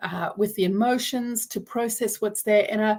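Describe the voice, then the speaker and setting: A woman's somewhat breathy voice at a fairly high pitch. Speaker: trauma recovery coach. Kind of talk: live stream talk. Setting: live video stream.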